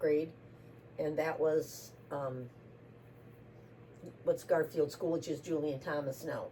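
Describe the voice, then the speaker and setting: At a fairly slow pace, a woman in an Upper Midwest accent talks with a fairly low pitch and ordinary pitch variation. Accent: Upper Midwest American. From US Midwest, Racine, Wisconsin. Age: 70s. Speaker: interviewee. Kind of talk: casual interview.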